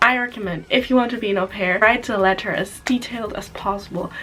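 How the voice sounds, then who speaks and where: A woman with a German accent speaks at a moderate pace with ordinary pitch variation over noticeable background noise. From Germany. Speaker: au pair vlogger. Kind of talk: casual vlog talk. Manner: halting.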